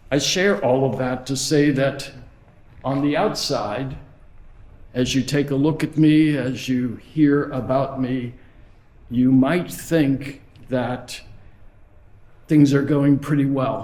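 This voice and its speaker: Spoken at a very slow pace with long, frequent pauses and fairly even intonation, the voice carries an audible room echo. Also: man, fairly high pitch for a man. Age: 70s. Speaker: head of school. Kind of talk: speech. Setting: auditorium with audience.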